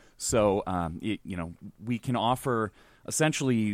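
The sound is dry and close with no echo as a man speaks at a moderate pace, his fairly low pitch moving with ordinary variation. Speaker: podcast guest. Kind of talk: casual chat. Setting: video call.

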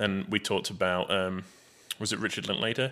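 With an English accent, a man speaks at a fairly quick pace and with fairly even intonation on a very clean recording with a silent background. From England. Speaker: film podcast co-host. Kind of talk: casual chat. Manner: laughs often.

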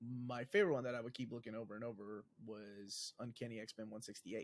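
A plain, everyday voice from a man, medium in pitch, fairly quick, with fairly even intonation. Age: 40s. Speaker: comic book YouTuber. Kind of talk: casual chat.

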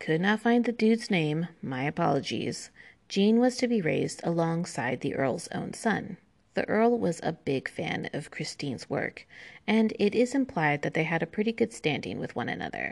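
Against a quiet background, a woman with an American accent speaks at a moderate pace, her fairly low voice making very wide pitch swings. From United States. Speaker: history podcaster. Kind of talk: solo history narration. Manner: casual with frequent fillers and laughs.

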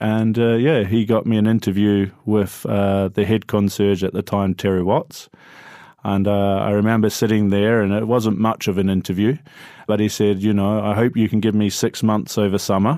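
Speaking in a New Zealand accent, a man with a fairly low pitch keeps a moderate pace, very even loudness and fairly even intonation. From New Zealand, Christchurch. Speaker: hotel concierge. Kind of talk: interview.

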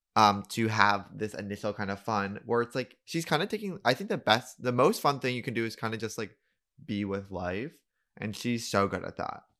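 On a very clean recording with a silent background, a man talks at a moderate pace. His pitch is medium, with ordinary variation. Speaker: podcast co-host. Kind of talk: casual chat. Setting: home studio. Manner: animated.

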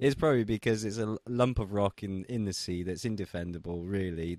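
With an English accent, a man speaks in a very deep, low pitch at a fairly quick pace, with ordinary pitch variation. The sound is dry and close with no echo, and the background is quiet. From England. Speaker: political commentator. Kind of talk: casual chat.

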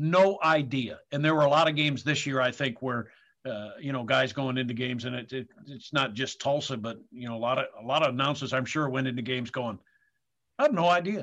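A man speaks at a fairly quick pace with a medium pitch and ordinary pitch variation. The background is quiet. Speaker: sports radio broadcaster. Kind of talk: interview. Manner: halting.

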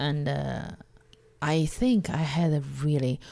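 A woman speaks in a very deep, low pitch with a Chinese accent. Her tone is dark and mellow, and her pace is moderate. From China. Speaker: comedian. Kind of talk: interview. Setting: in person at host's home.

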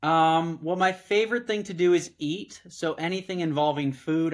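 An ordinary speaking voice from a man with an American accent and fairly even intonation. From Southern California. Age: 30s. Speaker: startup founder and former political staffer. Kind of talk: casual chat.

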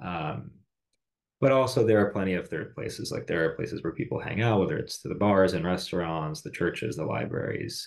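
Using an ordinary speaking voice with an American accent, a man with fairly low pitch talks at a fairly quick pace with lively intonation over a quiet background. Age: 30s. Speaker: podcast host. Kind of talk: casual chat.

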